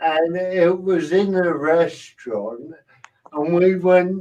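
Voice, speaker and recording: A man is talking. His pace is very slow. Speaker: comedian. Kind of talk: panel discussion. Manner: speech sounds slurred to strangers.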